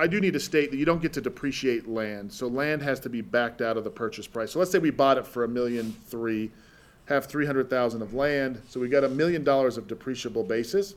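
This is a normal speaking voice, a man's with an American accent. He talks at a fairly quick pace with lively intonation. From Utah, US (Salt Lake City). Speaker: tax depreciation specialist. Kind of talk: podcast interview.

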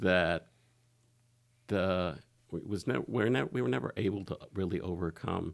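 This man has a very deep, low pitch with vocal fry and lively intonation. He leaves long, frequent pauses. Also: moderate pace. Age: 60s. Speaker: retired lawyer, guest sharing personal experience. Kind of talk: interview testimony. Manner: halting, many fillers and restarts.

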